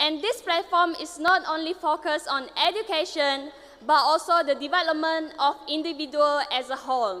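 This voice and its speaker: A woman raises and projects her voice at a high pitch, with a moderate pace and ordinary pitch variation. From Sarawak, Malaysia. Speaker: pageant contestant. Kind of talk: prepared speech.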